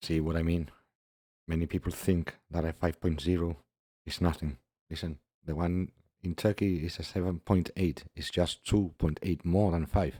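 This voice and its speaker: A man's very deep, low voice has a dark, mellow tone and a monotone, flat intonation at a moderate pace, with a dry, close sound and no echo. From Gibraltar. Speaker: YouTube commentator. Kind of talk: video commentary. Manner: casual, non-professional delivery.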